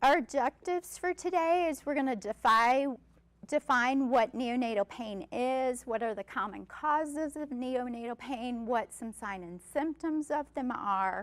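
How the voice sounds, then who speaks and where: Loud and high-pitched, a woman speaks at a fairly slow pace with lively intonation in a dry, close recording with no echo. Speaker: neonatal nurse practitioner. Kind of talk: lecture. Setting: stage with audience.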